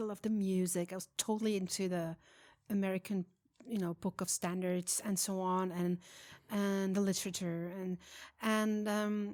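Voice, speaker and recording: With a Swiss German accent, a woman speaks at a moderate pace and medium pitch with fairly even intonation in a very clean recording with a silent background. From Switzerland. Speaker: jazz singer. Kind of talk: interview. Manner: halting.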